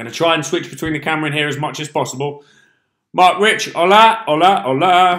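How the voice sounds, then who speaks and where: With a bright, sharp tone, a man talks at a fairly high pitch with ordinary pitch variation. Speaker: fitness coach. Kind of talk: live Q&A stream. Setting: live stream on camera. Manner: fast.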